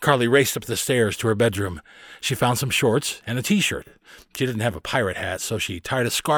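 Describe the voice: Plain reading aloud fills the clip, its pitch varying in an ordinary way.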